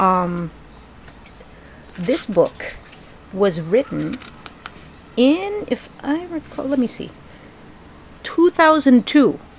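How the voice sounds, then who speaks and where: A woman's high-pitched voice with an American accent and very wide pitch swings, at a very slow pace with long, frequent pauses, over noticeable background noise. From Philippines. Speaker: book reviewer. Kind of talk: casual book review vlog. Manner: casual, halting with fillers.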